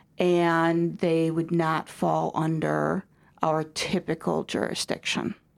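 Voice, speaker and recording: A woman with a Midwestern American accent, fairly low-pitched and fairly slow, on a very clean recording with a silent background. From US Midwest, DeKalb, Illinois. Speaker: regional school superintendent. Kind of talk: interview. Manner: hesitant, many fillers.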